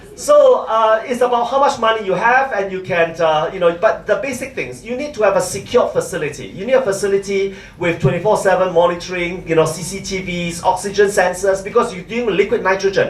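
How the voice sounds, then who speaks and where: Speech comes at a fairly quick pace with hardly any pauses. Background noise is noticeable. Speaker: conference speaker on biobanking. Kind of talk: conference lecture. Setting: conference hall with audience. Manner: fast.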